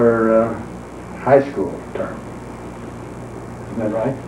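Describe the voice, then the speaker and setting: A man with an American accent speaks at a fairly slow pace and medium pitch, in a monotone, flat intonation. Noticeable background noise and audible room echo surround him. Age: 70s. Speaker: retired accountant narrating home movies. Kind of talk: casual chat. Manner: halting.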